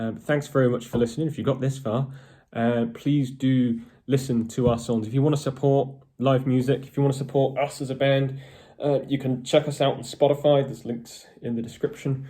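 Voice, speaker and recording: A man talks at a fairly quick pace in a monotone, flat intonation. His medium-pitched voice is somewhat breathy, with a dark, mellow tone. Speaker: metal band guitarist. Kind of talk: casual vlog talk to camera. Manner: hesitant, many fillers.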